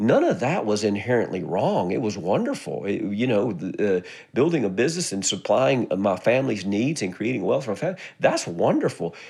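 Here a man speaks at a medium pitch. His pitch swings very widely. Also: moderate pace. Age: 50s. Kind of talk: motivational monologue. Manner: casual, halting with repetitions.

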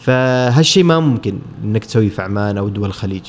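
Talking in an ordinary speaking voice, this man moves at a fairly quick pace. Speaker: photographer. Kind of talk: casual interview.

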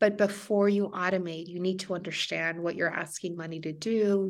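On a very clean recording with a silent background, a woman with a Spanish accent speaks at a medium pitch and moderate pace, her intonation fairly even. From Mexico. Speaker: financial planner and coach. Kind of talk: interview. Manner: halting.

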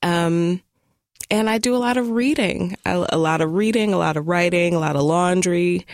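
A plain, everyday voice from a woman, fairly low in pitch, at a moderate pace, with ordinary pitch variation and very even loudness. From US Midwest (Detroit, Michigan; born in Tulsa, Oklahoma). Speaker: poet and writer. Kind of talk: interview; reading aloud her own writing.

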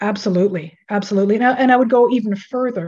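Her voice is dark, mellow and somewhat breathy, a woman's medium pitch with fairly even intonation. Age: 60s. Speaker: author. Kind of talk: interview.

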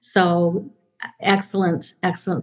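A woman speaks in a somewhat breathy voice. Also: quiet background. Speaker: podcast host and speech-language pathologist. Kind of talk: interview conversation.

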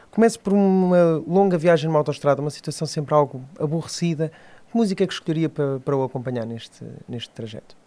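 Talking at a very fast pace, a man with a fairly high pitch and a dark, mellow tone shows ordinary pitch variation. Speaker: podcast host. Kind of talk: interview.

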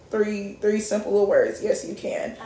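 Audible room echo around a woman talking fairly quickly. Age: 20s. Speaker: podcast host. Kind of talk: casual chat.

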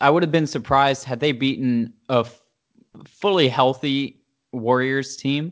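An ordinary speaking voice with an American accent moves at a fairly slow pace. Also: man, fairly high pitch for a man, fairly even intonation. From US South, Charlotte, North Carolina. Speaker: sports fan guest. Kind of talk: casual chat.

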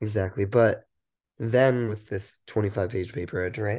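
Against a quiet background, a man speaks at medium pitch and a fairly slow pace, somewhat breathy with a dark, mellow tone and ordinary pitch variation. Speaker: podcast co-host, student. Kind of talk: casual chat. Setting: remote call.

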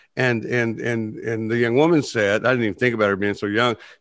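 Over a quiet background, a man with an unremarkable speaking voice talks at a fairly quick pace and medium pitch, with ordinary pitch variation. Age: 60s. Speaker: podcast host and therapist. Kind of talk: casual conversational podcast discussion.

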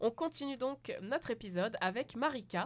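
A woman's voice makes very wide pitch swings. The recording is very clean, with a silent background. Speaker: podcast host. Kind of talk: scripted show host intro. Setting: studio.

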